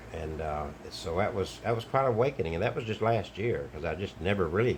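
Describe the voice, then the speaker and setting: At a moderate pace, a man with an Alabama accent talks at a fairly low pitch, somewhat breathy, with ordinary pitch variation. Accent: Southern US (Alabama). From Alabama, US South. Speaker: online commentator, travelling wedding officiant. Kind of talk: monologue video commentary.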